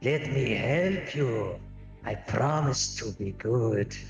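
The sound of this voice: Over clear music in the background and with a clear echo, a man does a put-on character voice at a medium pitch and a very slow pace.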